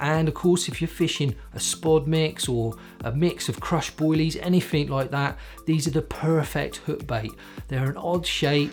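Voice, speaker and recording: Music plays behind a man speaking. His pitch is fairly high, with ordinary pitch variation. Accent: Cornish. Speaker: carp fishing bait presenter. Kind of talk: product explainer to camera.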